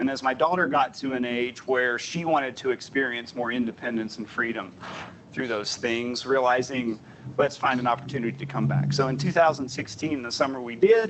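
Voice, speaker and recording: A man with a slight Southern US accent talks at a fairly quick pace with medium pitch and ordinary pitch variation over noticeable background noise. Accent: slight Southern twang at times. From US South, Southern Appalachia. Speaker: transportation planner. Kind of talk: presentation.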